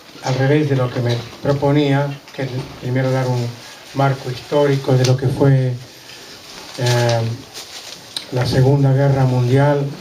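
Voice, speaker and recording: A medium-pitched man at a fairly slow pace with long, frequent pauses and monotone, flat intonation, plus audible room echo and noticeable background noise. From Serbia (Belgrade, former Yugoslavia). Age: 80s+. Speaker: Holocaust survivor. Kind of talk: testimony talk to students. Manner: hesitant, with fillers.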